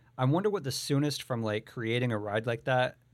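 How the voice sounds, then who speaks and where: In an ordinary speaking voice, a man talks at a fairly quick pace and medium pitch with ordinary pitch variation, captured in a very clean recording over a silent background. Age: 30s. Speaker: podcast host and voiceover artist. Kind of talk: casual chat.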